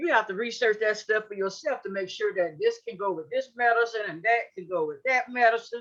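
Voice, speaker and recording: An ordinary speaking voice with lively intonation, a fairly quick pace and hardly any pauses. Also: woman, fairly high pitch for a woman. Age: 60s. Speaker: panelist living with HIV. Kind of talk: panel discussion.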